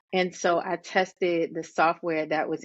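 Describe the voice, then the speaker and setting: This woman has an American accent and a fairly low pitch. Her intonation is monotone and flat. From Richmond, Virginia, US. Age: 40s. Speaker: hairstylist and educator. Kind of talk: interview.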